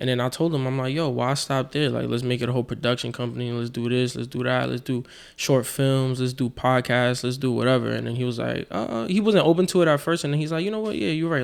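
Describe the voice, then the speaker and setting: A man in a New York accent, at medium pitch, with a very fast pace, hardly any pauses and ordinary pitch variation. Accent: New York City. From New York (South Jamaica, Queens). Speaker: rapper. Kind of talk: casual chat.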